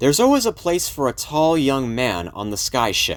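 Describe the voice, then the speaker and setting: A man puts on a character voice, pitched fairly high, at a moderate pace. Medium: read story. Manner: offhand, casual.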